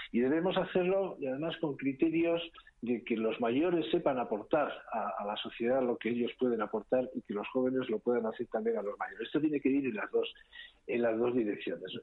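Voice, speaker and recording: A plain, everyday voice moves along at a fairly quick pace. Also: man, medium pitch for a man. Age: 60s. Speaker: foundation trustee. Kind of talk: interview.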